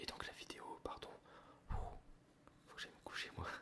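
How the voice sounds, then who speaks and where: A man whispers over noticeable background noise. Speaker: ASMR creator, art school student. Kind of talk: casual talk to camera, chatting about his life. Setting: indoors at home, ASMR recording with coffee sounds. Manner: whispered, soft-spoken.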